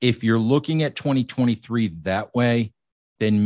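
An ordinary speaking voice talks at a moderate pace with ordinary pitch variation. The background is quiet. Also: man. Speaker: sports writer. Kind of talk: casual sports chat.

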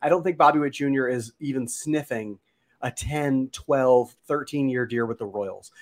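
A man with an ordinary speaking voice talks at a moderate pace in a medium pitch, with ordinary pitch variation and a dry, close sound that has no echo. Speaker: baseball analyst guest. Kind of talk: casual sports podcast chat.

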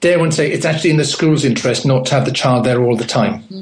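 A man is speaking. He has a British accent. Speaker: home educator and education writer. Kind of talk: radio interview.

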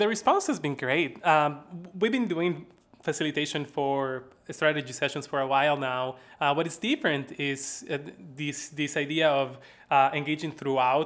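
With a Bolivian accent, a man speaks at a moderate pace in a fairly high pitch with ordinary pitch variation. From La Paz, Bolivia. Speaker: research analyst and impact director at a credit union research institute. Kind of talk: casual interview conversation.

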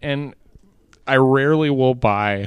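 A man speaks at a medium pitch in a croaky, put-on character voice.

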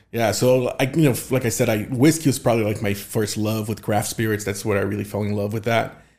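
A man with a Portuguese accent speaks fairly quickly at a medium pitch, with ordinary pitch variation. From southern Brazil. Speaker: tequila and spirits content creator. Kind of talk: casual chat.

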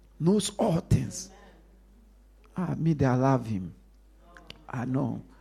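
A man with a medium pitch, vocal fry and a dark, mellow tone talks at a very slow pace, his pitch swinging very widely and his loudness shifting a lot, with long, frequent pauses. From Ghana, coastal region. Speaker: pastor. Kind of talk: sermon. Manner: loud, shouting.

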